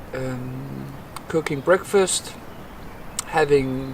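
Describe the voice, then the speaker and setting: Someone with a Danish accent speaks over noticeable background noise. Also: man. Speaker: bushcraft vlogger. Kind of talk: casual outdoor vlog talk to camera. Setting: outdoors in a forest by a campfire. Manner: halting, many repeats and fillers.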